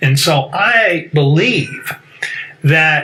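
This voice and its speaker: A man's fairly high voice with an American accent, over noticeable background noise. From US South. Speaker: talk show host. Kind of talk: debate.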